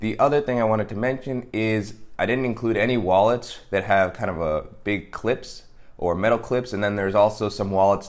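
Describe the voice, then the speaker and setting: Ordinary pitch variation from a man speaking fairly quickly. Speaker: product reviewer. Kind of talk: casual review talk to camera. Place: home room.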